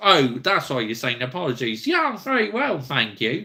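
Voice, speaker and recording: A man with vocal fry and a bright, sharp tone speaks at a moderate pace, his pitch swinging very widely, in a very clean recording with a silent background. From West Country England, Somerset. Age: 30s. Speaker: football YouTuber. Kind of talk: live stream chat with viewers. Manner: casual, conversational.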